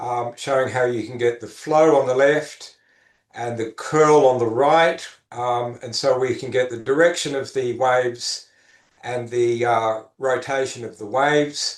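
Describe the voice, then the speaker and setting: A man talks at a fairly slow pace with a medium pitch and fairly even intonation, in an ordinary speaking voice. His loudness rises and falls by big amounts. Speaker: neuroscience professor giving a research talk. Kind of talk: academic lecture. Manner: frequent filler words.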